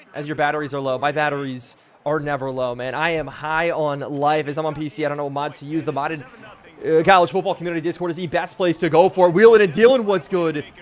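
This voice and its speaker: Very fast male speech at fairly high pitch, ordinary pitch variation, and noticeable background noise. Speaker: video game streamer. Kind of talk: live gameplay commentary. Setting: live stream. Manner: animated.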